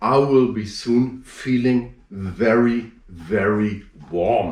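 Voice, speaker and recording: A man talks with a German accent and ordinary pitch variation. Room echo is audible. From northern Germany, Hamburg. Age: 40s. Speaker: strongman performer. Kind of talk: live performance commentary. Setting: home, internet show.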